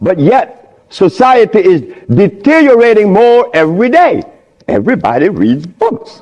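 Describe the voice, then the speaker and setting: A high-pitched male voice at a moderate pace, with very wide pitch swings and very even loudness. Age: 70s. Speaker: lecturer on diet and health. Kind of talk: lecture.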